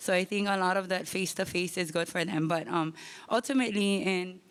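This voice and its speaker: A woman speaks with a Hawaiian accent at a medium pitch, her intonation fairly even. The recording is very clean with a silent background. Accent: Hawaiian local English. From Hawaii, West Kauai. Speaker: public commenter, teacher. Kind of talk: public comment at community meeting. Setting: school meeting hall with audience. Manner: halting, many fillers.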